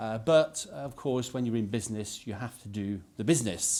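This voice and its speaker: Speaking at a moderate pace with a Yorkshire accent, a man is heard on a very clean recording with a silent background. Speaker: politician, former business leader. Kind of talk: press conference speech. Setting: press conference.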